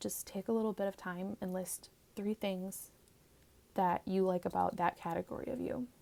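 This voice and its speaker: A soft-spoken woman is whispering. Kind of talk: ASMR comforting talk. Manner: soft-spoken, whispered.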